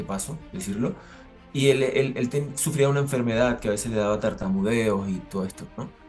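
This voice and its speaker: Music plays behind a man with a medium pitch. He talks at a fairly quick pace with ordinary pitch variation. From Venezuela. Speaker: actor, voice actor, announcer. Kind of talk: interview answer.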